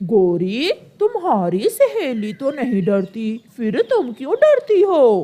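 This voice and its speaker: A female-sounding voice does a cartoonish character at a high pitch. The pace is very slow, with hardly any pauses. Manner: jovial, eager to please.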